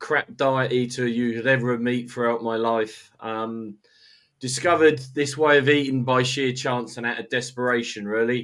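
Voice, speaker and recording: At a moderate pace, a man speaks in a monotone, flat delivery at a medium pitch. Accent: British. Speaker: carnivore diet follower. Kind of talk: casual chat. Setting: livestream video call.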